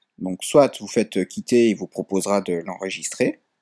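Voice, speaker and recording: Recorded with a dry, close sound and no echo, a man is speaking. His pace is fairly slow. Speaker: tech tutorial YouTuber. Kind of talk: tutorial. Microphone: built-in laptop mic.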